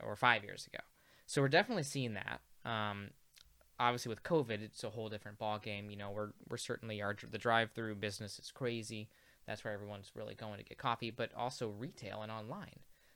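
Speaking very fast with an American accent, the voice has a bright, sharp tone and big swings in loudness. The recording is very clean, with a silent background. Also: man, fairly low pitch for a man, fairly even intonation. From US Midwest, Peoria, Illinois. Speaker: coffee roaster. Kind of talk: casual chat.

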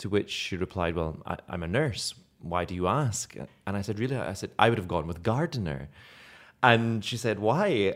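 On a very clean recording with a silent background, a man with a fairly low pitch speaks at a moderate pace in an animated tone with lively intonation. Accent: slight Scottish. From Scotland. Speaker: actor. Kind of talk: casual interview chat. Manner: animated, humorous.

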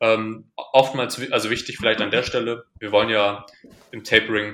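The voice moves at a moderate pace with a bright, sharp tone. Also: man. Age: 20s. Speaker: powerlifting coach. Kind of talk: casual chat. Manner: halting.

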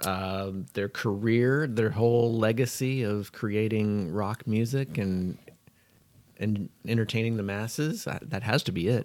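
At a fairly slow pace, a man speaks in an ordinary speaking voice with fairly low pitch and ordinary pitch variation. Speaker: podcast co-host. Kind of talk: casual chat. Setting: studio.

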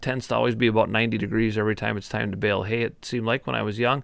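The recording is very clean, with a silent background. A man with an Upper Midwest accent speaks at medium pitch with vocal fry and ordinary pitch variation. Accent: Upper Midwest (Minnesota). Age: 40s. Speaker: sports podcast host. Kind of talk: casual sports talk.

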